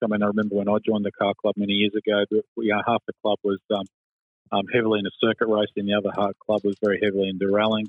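A man with an Australian accent, fairly low in pitch, very fast, monotone and flat in intonation, with very even loudness. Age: 50s. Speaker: motorsport club president. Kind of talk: radio interview.

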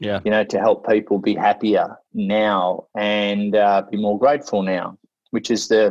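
A man speaks with an Australian accent at a moderate pace, his fairly low pitch monotone and flat. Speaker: motivational speaker. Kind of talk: casual interview.

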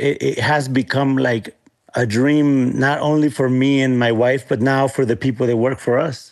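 A man's medium-pitched voice in a Spanish accent, fairly even in intonation and very even in loudness. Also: moderate pace. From Guanajuato, Mexico, raised partly as US migrant farm worker. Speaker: chef and restaurateur. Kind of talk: interview.

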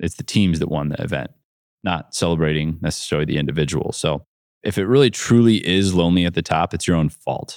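A man with an American accent talks at a very fast pace in a very deep, low voice. The sound is dry and close, with no echo. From US Midwest, north central Ohio. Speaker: entrepreneur and keynote speaker. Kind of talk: keynote speech.

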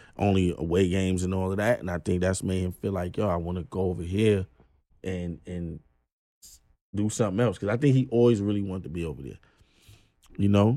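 In a New York accent, a man speaks at a fairly quick pace with a very deep, low pitch and a dark, mellow tone. His delivery has long, frequent pauses, big swings in loudness and ordinary pitch variation on a very clean recording with a silent background. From Brooklyn, New York. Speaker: rapper. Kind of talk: casual chat.

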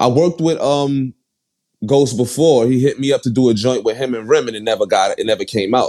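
A man's medium-pitched voice in a Brooklyn accent, dark and mellow in tone, with ordinary pitch variation at a moderate pace. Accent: New York (Brooklyn). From Brooklyn, New York (Bed-Stuy). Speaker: rapper. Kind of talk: casual interview.

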